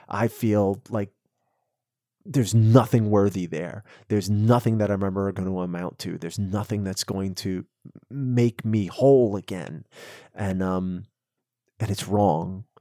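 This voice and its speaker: A man with a fairly low pitch speaks at a fairly slow pace, with long, frequent pauses and a calm, dark, mellow tone. His intonation is fairly even, and the recording is very clean and dry, close with no echo and a silent background. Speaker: recovery mentor, IT worker. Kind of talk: casual chat.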